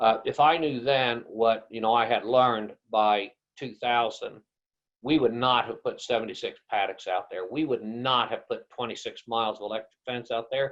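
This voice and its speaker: A man with an American accent and a normal speaking voice talks at a moderate pace, his medium pitch paired with fairly even intonation. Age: 60s. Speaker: rancher and grazing consultant. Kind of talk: webinar presentation. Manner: casual conversational.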